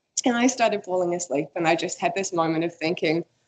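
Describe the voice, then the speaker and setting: A woman with a New Zealand accent speaks at a fairly low pitch. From New Zealand, Waikato (Morrinsville). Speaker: coastal researcher. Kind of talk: career talk presentation.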